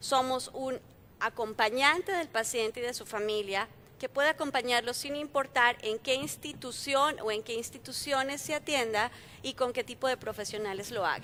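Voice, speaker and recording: Her bright, sharp tone sits at a high pitch as the woman speaks at a moderate pace with ordinary pitch variation. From Colombia. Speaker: health company founder, panelist. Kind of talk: conference panel talk.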